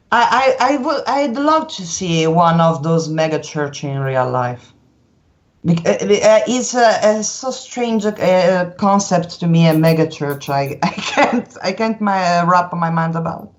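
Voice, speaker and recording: With a non-native accent, the speaker uses lively intonation at a fairly slow pace. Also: woman, fairly low pitch for a woman. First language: Italian. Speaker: anime artist. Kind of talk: interview. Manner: halting.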